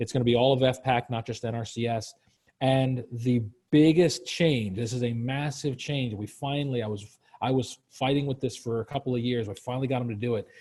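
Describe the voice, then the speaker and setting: A man talks fairly quickly, his somewhat breathy voice keeping fairly even intonation. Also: medium pitch for a man. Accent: American. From Virginia. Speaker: leadership program manager. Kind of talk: webinar Q&A. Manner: casual, halting with many fillers.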